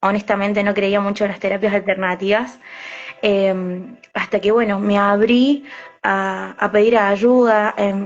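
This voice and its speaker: A woman at a medium pitch, fairly slow, in a monotone, flat intonation. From Argentina, Córdoba city. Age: 20s. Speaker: alternative therapist and psychic medium. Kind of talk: interview. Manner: hesitant, many fillers.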